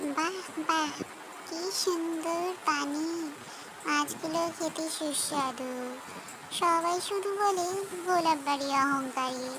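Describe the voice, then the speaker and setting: A cartoonish character voice at an extremely high pitch speaks at a fairly slow pace over loud background noise. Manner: chatty, quacking.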